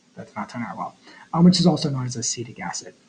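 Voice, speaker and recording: Lively intonation and a somewhat breathy quality. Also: man. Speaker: chemistry teacher. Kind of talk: tutorial. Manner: halting, many fillers.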